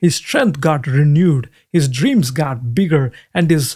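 Somewhat breathy and with a non-native accent, a man of fairly high pitch speaks at a fairly slow pace with ordinary pitch variation, the sound dry and close with no echo. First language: not English. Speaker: Bible teacher. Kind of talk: sermon.

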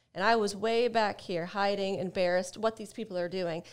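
A woman's ordinary speaking voice with an American accent at a fairly quick pace, on a very clean recording with a silent background. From Ohio, US. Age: 40s. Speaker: sobriety coach and personal trainer. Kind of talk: casual interview chat.

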